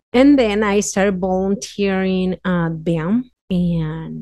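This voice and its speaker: Speaking at a very slow pace with a Mexican accent, a woman uses a medium pitch, ordinary pitch variation and a dark, mellow tone. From Mexico City area, Mexico. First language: Spanish. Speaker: community health worker. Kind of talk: casual interview. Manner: frequent laughter, hesitant fillers.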